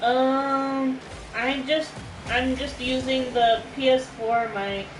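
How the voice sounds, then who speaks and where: Speaking loudly at a very slow pace, a woman with a high pitch keeps a monotone, flat intonation over noticeable background noise and audible room echo. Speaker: gamer streamer. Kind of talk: casual chat during gameplay. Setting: livestream while gaming. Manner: loud, projected.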